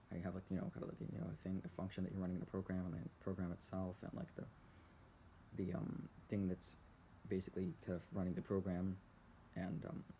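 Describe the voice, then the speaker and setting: Soft-spoken and somewhat breathy, a man talks at a very fast pace in a very deep, low pitch, with a dark, mellow tone and fairly even intonation. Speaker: channel owner recording personal thoughts. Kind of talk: casual rambling talk about philosophy, unscripted. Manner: soft-spoken, quiet, hesitant with fillers.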